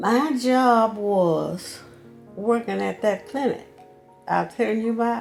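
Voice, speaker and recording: A woman with a Southern US accent speaks at a fairly slow pace with long, frequent pauses. Music plays in the background. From Louisiana, US South. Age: 80s+. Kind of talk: interview answer.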